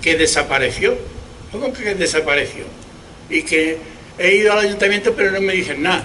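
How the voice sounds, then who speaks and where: A man with a high voice speaks at a fairly quick pace, raised and projected. Noticeable background noise runs underneath. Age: 70s. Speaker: historical memory activist. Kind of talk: public speech at memorial event. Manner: halting, with repetitions.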